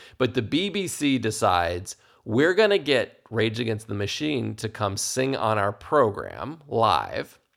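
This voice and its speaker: A man with vocal fry speaks at a fairly slow pace and medium pitch, using lively intonation with hardly any pauses. The recording is very clean, with a silent background. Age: 40s. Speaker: podcast host and small business coach. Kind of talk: solo podcast monologue. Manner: halting, many fillers and repetitions.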